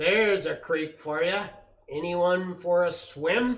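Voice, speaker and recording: A man puts on a character voice. It sits at a high pitch. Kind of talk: jokey. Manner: bellowing, loud.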